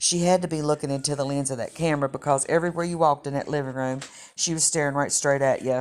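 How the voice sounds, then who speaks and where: A woman talks very fast in a very deep, low voice with an Appalachian accent. Her intonation stays monotone and flat. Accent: Appalachian Southern US. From West Virginia, Clay County (Appalachia). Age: 60s. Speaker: cooking channel host and storyteller. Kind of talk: personal storytelling.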